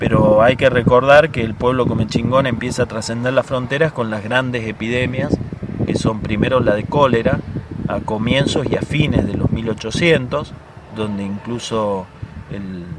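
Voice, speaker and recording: Noticeable background noise sits behind a man talking at a moderate pace in a medium pitch with ordinary pitch variation. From Córdoba hills, Argentina. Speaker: medicinal herbalist, Comechingón descendant. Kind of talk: interview answer. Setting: outdoors, windy.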